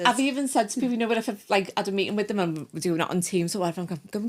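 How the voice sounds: A woman with a Liverpool accent and lively intonation. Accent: Scouse.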